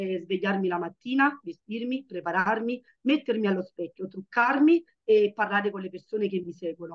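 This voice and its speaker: Against a quiet background, the talking proceeds at a moderate pace, with ordinary pitch variation. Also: woman. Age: 30s. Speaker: network marketer, mother; presenter. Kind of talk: testimony. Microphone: video call.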